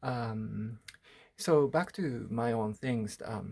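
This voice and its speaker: A man with a Japanese accent and ordinary pitch variation. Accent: Japanese-accented English, rusty. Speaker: artist. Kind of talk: personal video diary. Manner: halting, many fillers.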